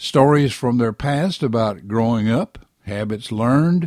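A man with a Southern US accent talks at a fairly slow pace and medium pitch in a dark, mellow tone with ordinary pitch variation. The recording is very clean, the background silent. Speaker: writer and radio commentator. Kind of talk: scripted commentary.

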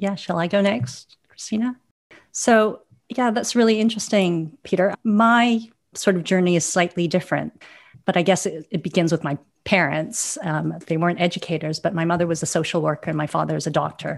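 A plain, everyday voice from a woman, with ordinary pitch variation, a fairly quick pace and a quiet background. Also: fairly low pitch for a woman. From Canada, Vancouver. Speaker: philanthropist and foundation chair. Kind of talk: panel discussion.

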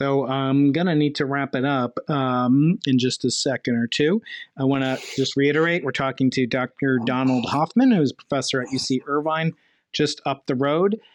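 In a normal speaking voice at a fairly high pitch, a man talks at a moderate pace with ordinary pitch variation, in a dry, close sound with no echo and a quiet background. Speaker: podcast host, physics professor. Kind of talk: interview. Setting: video call.

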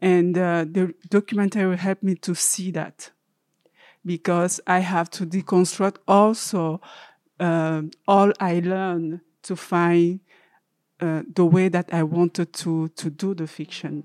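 A woman with an African accent speaks at a fairly slow pace in a fairly low, monotone, flat voice. The recording is very clean, with a silent background and a dry, close sound with no echo. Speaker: filmmaker. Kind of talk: panel discussion. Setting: stage with audience.

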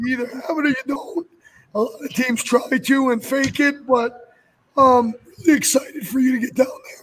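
Putting on a character voice, a man speaks raspy and hoarse at an extremely high pitch, keeping a moderate pace and fairly even intonation.

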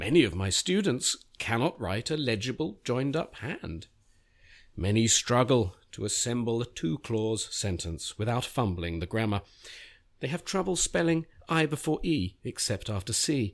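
A man talks with a London accent, his pitch swinging very widely. The recording is very clean with a silent background. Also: medium pitch for a man, moderate pace. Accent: British English (London). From England (London). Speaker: writer and essayist. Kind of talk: reading aloud. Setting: studio. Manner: halting, many fillers in conversation.

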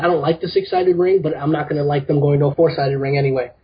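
The man's voice is fairly high and somewhat breathy. His intonation stays fairly even. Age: 20s. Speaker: caller, wrestling fan. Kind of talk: casual chat. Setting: phone call.

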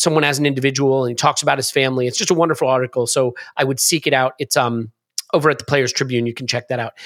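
A man with an American accent speaks very fast in a very clean recording with a silent background. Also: dry, close sound with no echo. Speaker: football podcast host. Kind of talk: casual chat. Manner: fast talker; animated.

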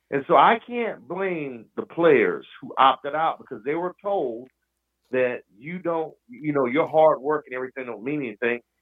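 This man has a plain, everyday voice with an American accent, pitched fairly high and delivered at a moderate pace. His intonation is lively, and his loudness swings widely. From Oklahoma, US. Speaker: caller, longtime fan. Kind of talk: heated rant. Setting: phone call. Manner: angry, bitter, loud.

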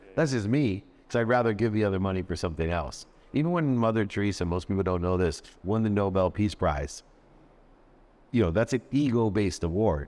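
An unremarkable speaking voice from a man, fairly low in pitch, with lively intonation, a fairly quick pace and a quiet background. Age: 50s. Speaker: entrepreneur and motivational speaker. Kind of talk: casual interview.

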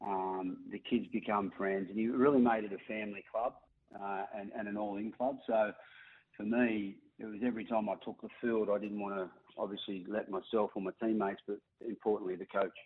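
A man with an Australian accent talks at a fairly quick pace. His voice sits fairly low and the intonation is monotone and flat. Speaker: former rugby league player. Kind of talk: radio interview.

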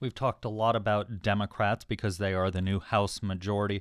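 Over a silent background in a very clean recording, a man speaks at a fairly low pitch in an unremarkable speaking voice. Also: dry, close sound with no echo. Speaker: radio host. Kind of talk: radio news interview.

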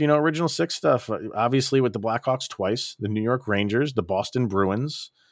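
A man in a normal speaking voice, fairly quick pace and lively intonation, dry, close sound with no echo, very clean recording against a silent background. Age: 40s. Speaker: sports podcast host. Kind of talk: casual chat.

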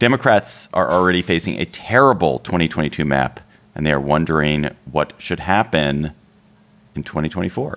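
Here a man talks with a very deep, low pitch and vocal fry. His intonation is lively and his pace moderate. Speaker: podcast host. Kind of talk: casual chat.

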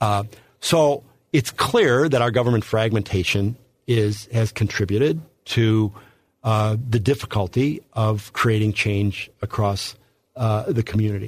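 A somewhat breathy male voice with an American accent, fairly low pitch, fairly slow pace, ordinary pitch variation and very even loudness, on a very clean recording with a silent background. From St. Louis, Missouri. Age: 60s. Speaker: political candidate. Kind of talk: interview. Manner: halting, many fillers.

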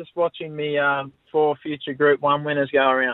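Here a man with an Australian accent speaks at a fairly high pitch. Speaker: horse owner, harness racing tipster. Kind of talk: casual tipping chat. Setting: phone call.

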